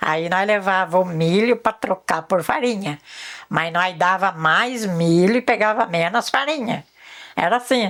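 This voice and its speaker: A woman's medium-pitched voice at a fairly slow pace, with ordinary pitch variation and very even loudness. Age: 60s. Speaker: rural elder. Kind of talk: life story interview. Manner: halting.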